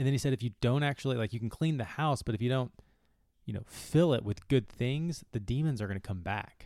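A man speaks at a fairly quick pace in an unremarkable speaking voice, his pitch medium with ordinary variation. The recording is very clean, with a silent background. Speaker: physio and fitness podcast host. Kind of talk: casual podcast chat. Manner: conversational, relaxed.

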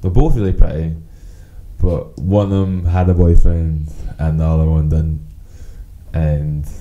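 A man with a strong Glasgow accent speaks fairly slowly in a relaxed tone, his very deep, low pitch held fairly even. Noticeable background noise sits behind him. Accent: strong Glaswegian Scottish. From Glasgow, Scotland. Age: 20s. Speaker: podcast co-host. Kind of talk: casual chat, swearing, banter. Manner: relaxed, joking.

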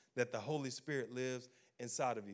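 A man with a Louisiana accent speaks at a fairly quick pace. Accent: US Southern (Louisiana). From Louisiana, Baton Rouge. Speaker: pastor. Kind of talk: sermon. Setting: church. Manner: animated.

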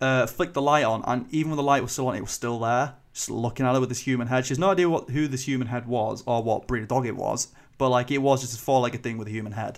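Speaking very fast with hardly any pauses, a man with a Yorkshire accent keeps a medium pitch and fairly even intonation. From northern England, Selby, Yorkshire. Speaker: podcast host. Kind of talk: casual chat.

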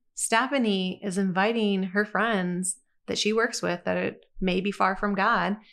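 Against a quiet background, a woman with an American accent talks in a normal speaking voice at a medium pitch with fairly even intonation. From Michigan, US. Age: 40s. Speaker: church minister. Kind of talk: casual chat.

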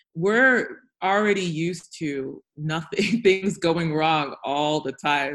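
Speaking at a very slow pace, a woman with an American accent has a fairly low pitch and ordinary pitch variation. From United States. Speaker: health tech founder. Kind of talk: panel discussion. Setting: video call.

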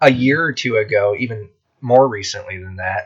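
A man speaks at a moderate pace with medium pitch. His voice is somewhat breathy. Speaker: podcast host; military veteran. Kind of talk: casual chat. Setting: in the back of a van.

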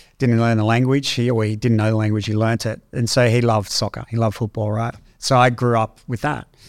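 Very fast and with hardly any pauses, a man with an Australian accent speaks in a monotone, flat intonation in a very clean recording with a silent background. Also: medium pitch for a man. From Australia, Canberra. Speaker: tech entrepreneur. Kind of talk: interview conversation.

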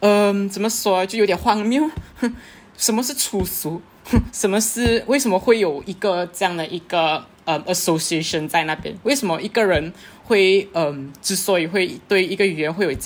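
At a moderate pace, a woman speaks in a plain, everyday voice of medium pitch with lively intonation. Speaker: linguistics student. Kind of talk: casual panel discussion.

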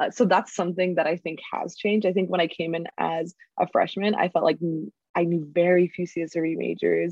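Her voice has a fairly low pitch and vocal fry. The woman speaks at a moderate pace with monotone, flat intonation. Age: 20s. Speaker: university student and youth organizer. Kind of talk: interview monologue.

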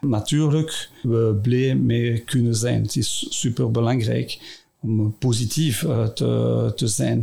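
A man speaking at a very slow pace with very even loudness, over noticeable background noise. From Brussels area, Belgium. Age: 50s. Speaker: company CEO. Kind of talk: interview. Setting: studio. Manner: halting.

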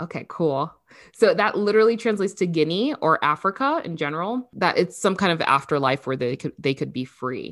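On a very clean recording with a silent background, a woman with a fairly low pitch speaks at a fairly quick pace, her pitch swinging very widely. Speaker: podcast co-host. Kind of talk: casual chat. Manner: chatty.

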